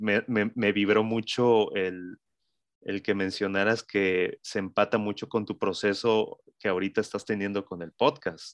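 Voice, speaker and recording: Against a quiet background, a man with a fairly low voice speaks at a fairly slow pace, the sound dry and close with no echo. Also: fairly even intonation. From Mexico City. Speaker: digital marketing agency co-founder. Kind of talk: casual chat.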